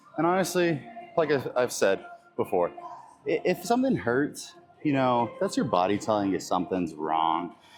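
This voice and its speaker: A man holds a moderate speed as music plays behind him. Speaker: fitness vlogger and bodybuilder. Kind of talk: casual gym vlog. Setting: gym. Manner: halting, stuttering.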